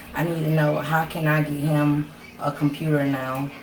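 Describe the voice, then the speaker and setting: Amid noticeable background noise and audible room echo, a woman speaks fairly slowly in a monotone, flat intonation at a very deep, low pitch. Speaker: parent. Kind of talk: parent question.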